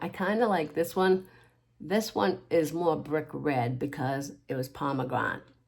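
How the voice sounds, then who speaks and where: On a very clean recording with a silent background, a woman with a very deep, low pitch speaks at a fairly slow pace. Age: 60s. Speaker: makeup tutorial creator. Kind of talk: makeup tutorial. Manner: casual, rambling self-corrections.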